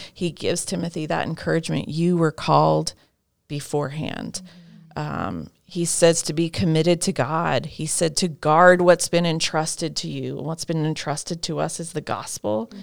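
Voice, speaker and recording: A woman speaks at a very deep, low pitch with vocal fry. Her pace is moderate, her intonation fairly even, and her loudness swings widely. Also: very clean recording, silent background. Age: 30s. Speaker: women's ministry leader and writer. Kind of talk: casual interview.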